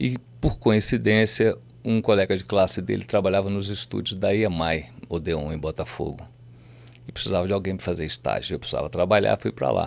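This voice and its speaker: The voice moves at a fairly quick pace and carries vocal fry. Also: man, very deep, low pitch for a man, ordinary pitch variation. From southern Minas Gerais, Brazil. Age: 60s. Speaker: music producer and businessman. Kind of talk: podcast interview.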